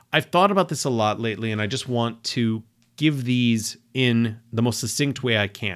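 This man has a plain, everyday voice, speaking at a moderate pace and medium pitch with ordinary pitch variation. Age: 40s. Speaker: podcast host, writer and blogger. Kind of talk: solo monologue podcast.

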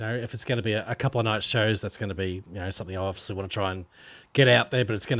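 A man's fairly low voice at a very fast pace, fairly even in intonation, on a very clean recording with a silent background. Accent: Australian. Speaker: podcast co-host. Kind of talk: casual comedy podcast chat.

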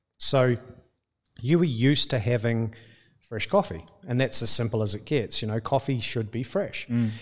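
A man's somewhat breathy voice at medium pitch, with a New Zealand accent, lively intonation and a moderate pace, on a very clean recording with a silent background. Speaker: coffee company co-owner. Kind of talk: casual interview.

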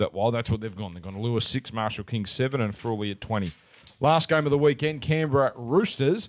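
The recording is very clean with a silent background. A man speaks at a fairly quick pace and medium pitch, with ordinary pitch variation. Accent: Australian. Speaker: sports betting podcast host. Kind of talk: casual sports betting chat.

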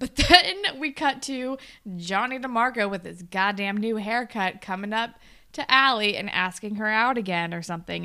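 A woman talks at a moderate pace in a very clean recording where the background is silent. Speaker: podcast co-host. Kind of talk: casual podcast chat.

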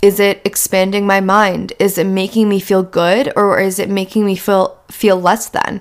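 At a moderate pace, a woman with a normal speaking voice talks at medium pitch. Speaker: podcast host. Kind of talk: solo podcast monologue.

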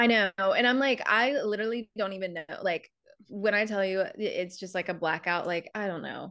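The delivery keeps a moderate speed, with ordinary pitch variation. It is a normal speaking voice. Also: woman, medium pitch for a woman. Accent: American. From South Carolina. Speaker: reality TV contestant and content creator. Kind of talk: casual interview chat.

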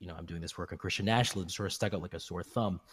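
A man speaks with a very deep, low pitch. The recording is very clean, the background silent. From Canada, British Columbia. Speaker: English professor. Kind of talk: interview. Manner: halting, many fillers and repetitions.

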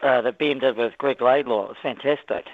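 Talking at a fairly quick pace, a man with a New Zealand accent has a fairly high pitch and fairly even intonation. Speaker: radio caller. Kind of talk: casual chat. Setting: phone call.

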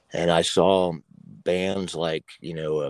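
A man with an American accent speaks at a very deep, low pitch, recorded in a dry, close sound with no echo. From Oklahoma. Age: 50s. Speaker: former metal guitarist, gun YouTuber. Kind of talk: casual interview chat.

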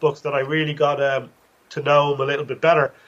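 With a Dublin accent, a man talks at a fairly quick pace and a fairly high pitch. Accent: Irish (Dublin). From Ireland, Dublin. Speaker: author and college lecturer. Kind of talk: interview.

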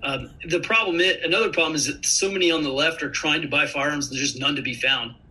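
Someone with an American accent rushes along at a very fast pace with hardly any pauses, over noticeable background noise. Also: man, ordinary pitch variation. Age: 30s. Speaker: intelligence analyst and army veteran. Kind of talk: interview.

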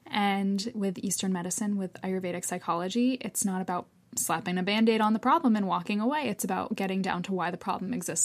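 A woman speaks at a fairly quick pace with a medium pitch and ordinary pitch variation, in a normal speaking voice. The recording is very clean, with a silent background. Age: 20s. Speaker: yoga therapist. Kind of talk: casual interview.

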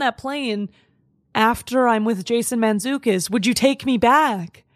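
She is a woman with a high pitch. Her intonation is lively. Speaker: comedian. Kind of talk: casual chat. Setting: studio.

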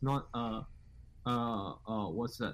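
This man's speech has noticeable vocal fry. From Middle East. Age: 19. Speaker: caller. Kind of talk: casual debate.

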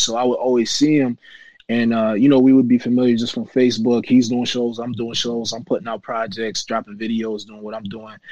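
A man's normal speaking voice at a medium pitch and a fairly quick pace. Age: 30s. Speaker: rapper. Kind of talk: casual interview.

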